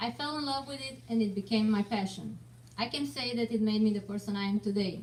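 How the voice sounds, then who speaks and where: This woman speaks with a Romanian accent at a medium pitch and a fairly quick pace. Her intonation is lively, and background noise is noticeable. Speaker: martial arts student, parent. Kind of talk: prepared speech.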